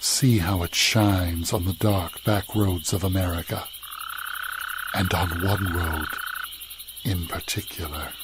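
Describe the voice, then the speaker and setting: The speech moves at a fairly slow pace with long, frequent pauses. Noticeable background noise is present. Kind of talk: radio show intro narration.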